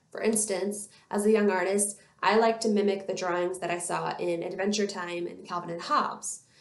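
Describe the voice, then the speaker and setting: A woman at a moderate pace with ordinary pitch variation and audible room echo. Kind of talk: educational talk to camera. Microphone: webcam.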